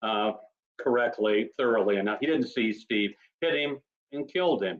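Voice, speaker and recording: With ordinary pitch variation, a man uses an ordinary speaking voice. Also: medium pitch for a man, moderate pace. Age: 60s. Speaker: author. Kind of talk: casual chat.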